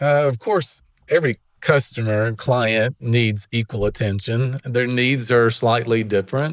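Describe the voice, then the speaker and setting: A man with a strong Alabama accent speaks at a fairly slow pace and a medium pitch. His intonation is fairly even, and the sound is dry and close with no echo. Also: very clean recording, silent background. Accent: Southern US (Alabama), strong. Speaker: real estate agent. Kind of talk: interview. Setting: studio.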